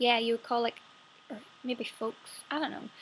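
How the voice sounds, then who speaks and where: A woman speaks with a Northern Irish accent. Her voice is fairly high. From Northern Ireland. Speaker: actress. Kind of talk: casual talk to camera.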